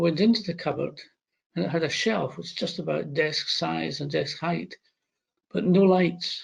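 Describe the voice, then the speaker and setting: A man with a Scottish accent talks at a moderate pace. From Scotland, Glasgow area. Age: 70s. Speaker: retired doctor and former chief medical officer. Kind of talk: interview. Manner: hesitant.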